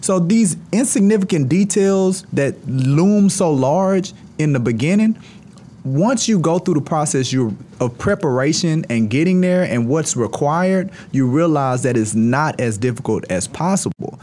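Animated in tone, a man with an American accent speaks at a fairly high pitch with very wide pitch swings. His loudness stays very even. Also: fairly slow pace. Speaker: real estate firm CEO. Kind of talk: casual interview. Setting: studio.

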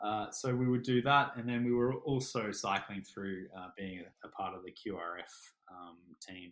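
Fairly slow delivery in an Australian accent, with ordinary pitch variation. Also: man, medium pitch for a man, big swings in loudness. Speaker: paramedic and army veteran. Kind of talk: interview. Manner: hesitant, many fillers and repeats.

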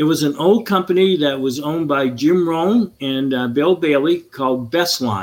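Speaking with a Maine accent, a man talks at a moderate pace and fairly high pitch with hardly any pauses. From Maine (Augusta), partly raised in Florida. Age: 70s. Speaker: retired entrepreneur. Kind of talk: interview.

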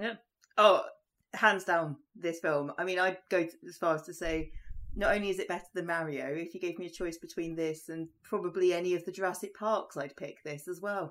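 With an ordinary speaking voice, a woman talks at a fairly quick pace and a fairly low pitch. Her intonation is fairly even, but her loudness swings widely. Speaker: podcast co-host. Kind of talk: casual chat.

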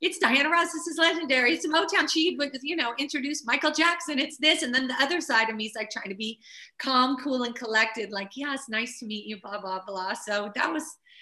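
A woman's raised, projected voice at a high pitch, fairly quick and with hardly any pauses, lively in intonation, over noticeable background noise. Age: 50s. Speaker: choreographer and publicist. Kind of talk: interview.

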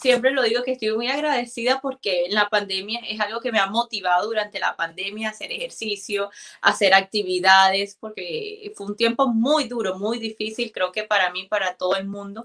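Here is a woman with a plain, everyday voice and a fairly high pitch. She talks at a moderate pace with ordinary pitch variation and hardly any pauses. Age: 20s. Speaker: immigrant guest sharing her story. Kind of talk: live interview.

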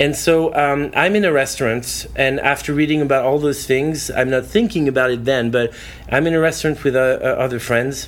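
There is noticeable background noise behind this man with a French accent. He talks fairly quickly at a fairly high pitch, with ordinary pitch variation and very even loudness. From France, southwest near Bordeaux. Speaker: evangelist. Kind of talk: casual interview. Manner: halting with fillers.

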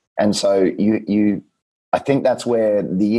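In an Australian accent, a man talks at a fairly slow pace. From rural New South Wales, Australia. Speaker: nutritionist. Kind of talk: casual interview chat. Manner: informative, clear explainer.

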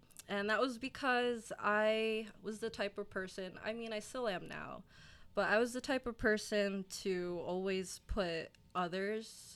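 In a New Jersey accent, a woman with a medium pitch talks at a fairly slow pace with fairly even intonation, recorded very cleanly against a silent background. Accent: New Jersey American. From South Jersey, US. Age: 20s. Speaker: gym client, recent college graduate. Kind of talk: casual interview chat.

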